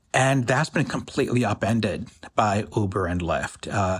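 The man's voice sits fairly low in pitch, somewhat breathy, with ordinary pitch variation. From US, Pakistani immigrant family. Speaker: economic justice organizer. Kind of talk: interview.

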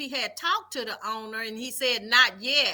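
Raised and projected, a woman's bright, sharp voice moves at a moderate pace. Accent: Southern US. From Mississippi, Vicksburg. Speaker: former prison guard. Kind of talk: interview.

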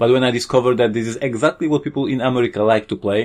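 The recording is very clean with a silent background. A man speaks with fairly even intonation in a Polish accent. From Poland. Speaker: board game designer and publisher. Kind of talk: interview.

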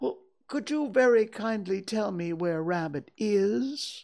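Someone uses a put-on character voice, pitched fairly high and delivered at a fairly slow pace. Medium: read story. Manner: gentle, simple, unhurried.

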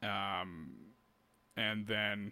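In a very clean recording with a silent background, a man with a Canadian accent speaks with ordinary pitch variation and a bright, sharp tone. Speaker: podcast host and musician. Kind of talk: casual interview chat. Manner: casual, filler-heavy.

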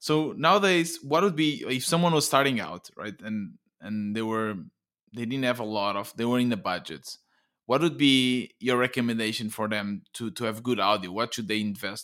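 Over a silent background in a very clean recording, a man with a Portuguese accent talks at a moderate pace with medium pitch, lively intonation and a bright, sharp tone. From Portugal. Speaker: podcast host. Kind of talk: interview conversation.

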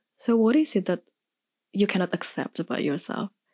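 A woman with an Indonesian accent speaks at a moderate pace in a dark, mellow tone with lively intonation. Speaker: podcast guest. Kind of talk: casual chat.

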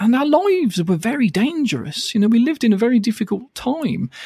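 A man with a British accent, very wide pitch swings and a fairly quick pace, on a very clean recording against a silent background. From UK. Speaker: hypnotherapist and author. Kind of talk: casual interview chat. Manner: fast, bouncy, animated; fast talker.

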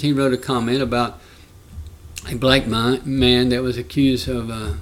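With a Southern US accent, a man speaks at medium pitch with fairly even intonation. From Alabama. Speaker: congressional candidate and Vietnam veteran. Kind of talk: rally-style stump speech, earnest and argumentative, political talk. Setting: podcast interview. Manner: earnest, impassioned, plain-spoken, storytelling.

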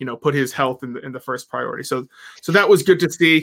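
This man speaks in a fairly high pitch. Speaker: podcast host. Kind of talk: casual chat. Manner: halting, repeats words.

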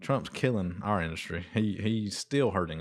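This very clean recording has a silent background. A man with an American accent talks at a moderate pace. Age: 30s. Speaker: small business owner. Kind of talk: casual chat.

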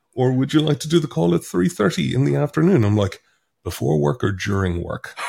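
A man with an Irish accent, fairly low pitch, very wide pitch swings, a somewhat breathy quality and a fairly quick pace. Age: 30s. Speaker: author. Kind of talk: casual chat.

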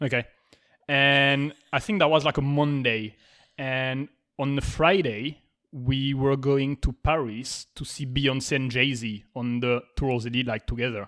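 A man with a French accent speaks at a fairly slow pace, with medium pitch and fairly even intonation. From France. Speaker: podcast host. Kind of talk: casual chat.

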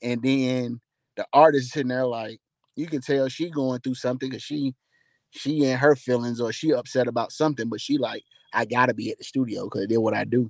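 Speaking fairly quickly at a medium pitch, a man with an American accent comes across in a dry, close sound with no echo. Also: fairly even intonation. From Atlanta, Georgia, US South (College Park). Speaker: songwriter and recording artist. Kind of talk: casual interview chat.

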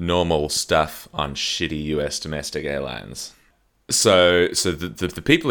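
A man's very deep, low voice with a bright, sharp tone, vocal fry and ordinary pitch variation, on a very clean recording with a silent background. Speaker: podcast co-host. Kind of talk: casual comedic chat. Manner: jokey, laughs often.

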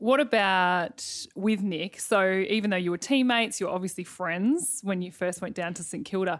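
A woman's medium-pitched voice in an Australian accent, with ordinary pitch variation and hardly any pauses. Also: moderate pace, very clean recording, silent background. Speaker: podcast host and former netballer. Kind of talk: casual interview.

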